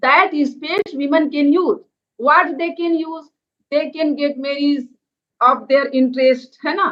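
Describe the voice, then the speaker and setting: In an Indian accent, a woman with a high voice talks at a fairly slow pace with fairly even intonation. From India, Madhya Pradesh. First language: Hindi. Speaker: NGO organic farming organizer. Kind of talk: webinar presentation. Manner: halting, many hesitations.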